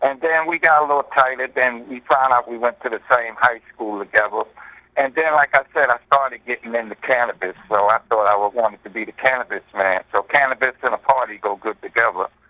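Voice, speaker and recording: A man of medium pitch talks at a fairly quick pace, with ordinary pitch variation and big swings in loudness. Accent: New York. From New York, the Bronx. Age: 60s. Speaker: hip-hop pioneer MC. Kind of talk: radio interview. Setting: phone call.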